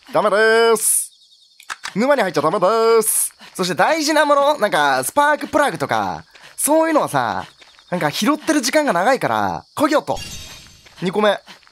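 Loud and high-pitched, a man speaks at a moderate pace with very wide pitch swings. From Kansai, Japan. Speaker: game streamer. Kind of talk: gameplay commentary. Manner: loud, energetic.

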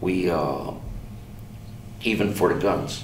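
A man's very deep, low voice at a fairly slow pace, with audible room echo and light background noise. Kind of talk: interview answer. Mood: calm reflective. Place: empty room.

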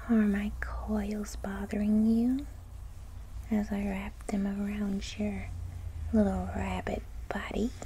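The voice has a playful tone and a very slow pace with long, frequent pauses. Noticeable background noise runs underneath. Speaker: ASMR roleplay performer. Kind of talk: asmr roleplay, playful seductive lamia character monologue. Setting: roleplay addressing a listener as a rabbit. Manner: playful, teasing, mischievous, soft intimate delivery with giggles; animated, whiny with mom, then coaxing and sly with the rabbit.

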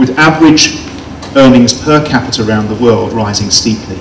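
Music plays in the background as a man speaks. His pace is moderate, with ordinary pitch variation. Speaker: conference speaker. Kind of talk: lecture. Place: hall. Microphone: handheld.

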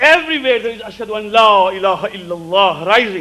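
With a bright, sharp tone, a man speaks fairly quickly at a high pitch with ordinary pitch variation.

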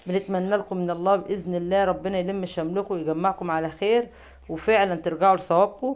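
Here a woman speaks at a medium pitch in a normal speaking voice. Her intonation stays fairly even. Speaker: YouTube commentary channel host. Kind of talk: monologue video commentary.

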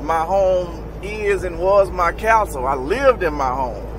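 A man in a dry sound with no echo, over noticeable background noise. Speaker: truck driver vlogger. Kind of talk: casual vlog chat. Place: car. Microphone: phone near.

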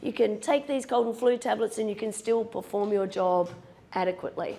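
Moderate-paced speech from a woman. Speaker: university law lecturer. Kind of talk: lecture. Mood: self-deprecating humor. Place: classroom.

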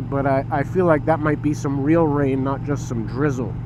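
Noticeable background noise accompanies a man speaking at a moderate pace. The sound is dry, with no echo. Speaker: motorcycle vlogger. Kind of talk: casual vlog chat. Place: motorbike. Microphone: helmet.

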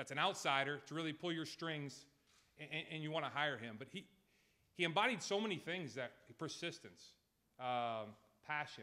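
Speaking with an American accent, a man moves at a fairly quick pace in a bright, sharp tone.

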